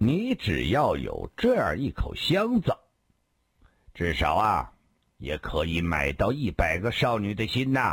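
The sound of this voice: A man's put-on character voice, low-pitched with a slightly husky edge, very wide pitch swings and a fairly slow pace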